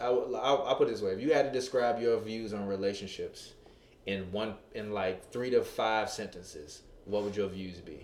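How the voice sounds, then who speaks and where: A man with a dark, mellow tone talks at a moderate pace with ordinary pitch variation amid audible room echo. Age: 20s. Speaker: relationship podcast host. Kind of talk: casual chat. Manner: animated.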